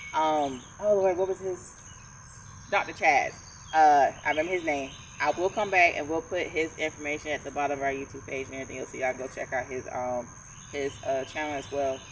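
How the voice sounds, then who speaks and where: With a Georgia accent, a woman with a very deep, low pitch talks at a fairly quick pace. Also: ordinary pitch variation. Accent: southern US (Georgia). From North Georgia. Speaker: podcast co-host. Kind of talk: casual chat. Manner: articulate.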